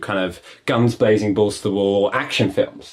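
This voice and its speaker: Talking fairly quickly, the speaker is heard against noticeable background noise. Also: man. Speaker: podcast host. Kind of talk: casual podcast discussion.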